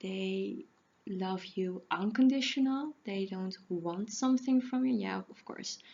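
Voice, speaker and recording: Very slowly, a woman speaks in a somewhat breathy voice. Her pitch varies in an ordinary way. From Netherlands. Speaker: animal communicator and healer. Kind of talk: casual talk to camera. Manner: halting, self-correcting.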